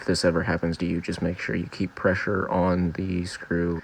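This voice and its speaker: A man speaks quietly at a moderate pace, with fairly even intonation. His pitch is very deep and low. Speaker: DIY car repair youtuber. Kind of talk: tutorial voiceover. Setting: recorded in bedroom. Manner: flat, subdued.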